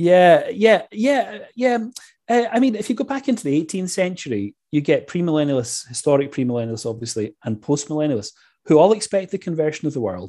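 Against a quiet background, a man with a Scottish accent speaks fairly quickly in a high pitch, his dark, mellow tone moving through very wide pitch swings. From Scotland. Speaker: history professor. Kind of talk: interview on church history.

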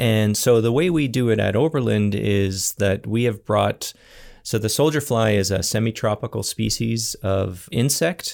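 In a very clean recording with a silent background, a man with a Canadian accent speaks at a moderate pace in a normal speaking voice of medium pitch, with ordinary pitch variation and very even loudness. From Ontario, Canada. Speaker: scientist and startup founder. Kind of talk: interview.

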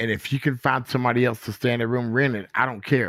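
A very fast-talking man with a Southern US accent and medium pitch, on a very clean recording with a silent background. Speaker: guest, uncle of a man killed by police. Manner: emotional, animated.

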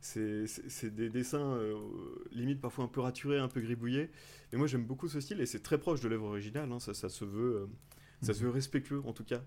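At a fairly quick pace, a man with a dark, mellow tone speaks in a medium pitch with ordinary pitch variation. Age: 30s. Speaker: podcaster. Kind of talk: recommendation segment. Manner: halting, repeats words.

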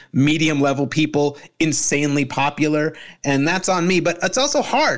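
In a normal speaking voice, a man with an American accent talks at a moderate pace and a fairly high pitch, on a very clean recording with a silent background. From Arizona, US. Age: 40s. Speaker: comedian and podcast host. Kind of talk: casual chat.

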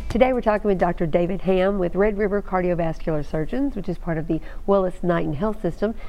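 Over music in the background, a woman speaks at a very fast pace with hardly any pauses, at a medium pitch and with ordinary pitch variation. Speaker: TV show host. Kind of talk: interview with caller questions. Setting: TV studio with phone-in calls.

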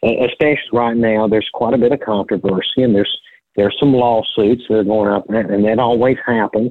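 In a Middle Tennessee accent, a man speaks at a fairly quick pace with a medium pitch, very even loudness, and fairly even intonation. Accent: US Southern (Middle Tennessee). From Tennessee, Sumner County (Portland area). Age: 50s. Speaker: banker and county commissioner. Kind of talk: casual interview.

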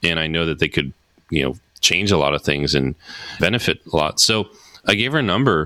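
A man with an American accent, a bright, sharp tone and a fairly quick pace, on a very clean recording with a silent background. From New Jersey. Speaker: brand strategist. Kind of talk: interview.

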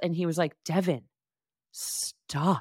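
A woman with a plain, everyday voice and a fairly low pitch speaks with fairly even intonation on a very clean recording, silent in the background, dry and close with no echo. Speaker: podcast co-host. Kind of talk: casual chat.

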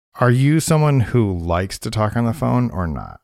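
A man's voice moves through very wide pitch swings. The recording is very clean, with a silent background. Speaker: podcast co-host. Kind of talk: casual chat. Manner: fast.

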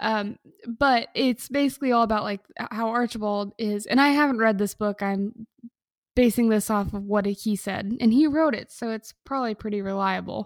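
Recorded very clean with a silent background and a dry, close sound with no echo, a woman speaks in an ordinary speaking voice at a fairly high pitch, with fairly even intonation and a moderate pace. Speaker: podcast co-host. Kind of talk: casual comedic banter. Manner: joking, playful.

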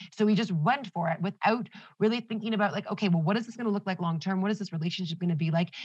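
At a very fast pace, a woman of medium pitch speaks in a somewhat breathy voice with an animated tone and ordinary pitch variation. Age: 20s. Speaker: astrology enthusiast. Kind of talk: casual chat.

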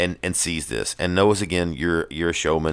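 A man speaks at a moderate pace with a very deep, low pitch and vocal fry. The recording is very clean and the background silent. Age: 40s. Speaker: podcast host. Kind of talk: casual chat. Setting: studio.

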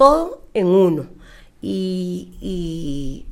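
A woman is speaking. She has a Costa Rican accent. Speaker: Hebrew and preschool teacher. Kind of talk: interview. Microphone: too quiet, far from the mic.

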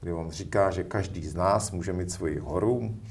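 This man's voice is very deep and low, and somewhat breathy. Audible room echo surrounds it. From Czechia, northern Moravia (Zábřeh). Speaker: education manager. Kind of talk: interview. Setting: studio. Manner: hesitant, many fillers.

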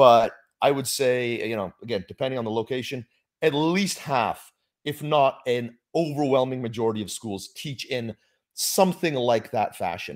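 A plain, everyday voice from a man, medium in pitch with ordinary pitch variation and a moderate pace, on a very clean recording with a silent background. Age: 40s. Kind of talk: casual chat.

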